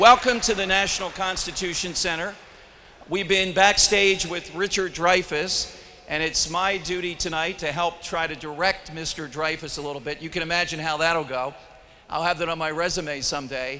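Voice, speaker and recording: Over noticeable background noise, a man speaks with a high pitch and fairly even intonation. His pace is moderate. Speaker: radio talk show host. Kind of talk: live event hosting. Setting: stage with audience. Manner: loud.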